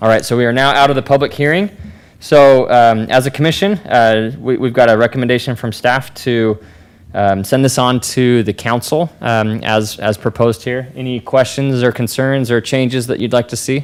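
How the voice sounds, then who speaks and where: A man's unremarkable speaking voice at a moderate pace. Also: medium pitch for a man, ordinary pitch variation. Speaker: planning commission chair. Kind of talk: public meeting. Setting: city hall meeting room.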